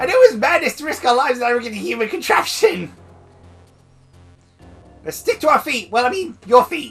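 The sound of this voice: Using a put-on character voice, the speaker sounds strained at a fairly high pitch, going at a fairly quick pace with long, frequent pauses as faint music plays in the background.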